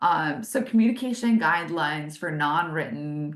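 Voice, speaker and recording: Noticeable background noise sits behind the speaker. A woman talks with lively intonation. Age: 40s. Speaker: business consultant leading webinars. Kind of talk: webinar presentation. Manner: animated.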